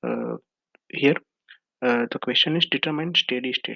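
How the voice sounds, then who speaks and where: Words come out at a fairly quick pace. An Indian accent marks the speech. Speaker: engineering exam tutor. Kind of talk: tutorial.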